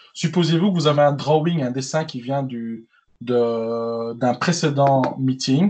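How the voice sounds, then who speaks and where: Somewhat breathy and with a strong Belgian accent, a man speaks at a fairly high pitch with ordinary pitch variation over a quiet background. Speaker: tech presenter. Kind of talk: online tech webinar demo. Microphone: slight echo.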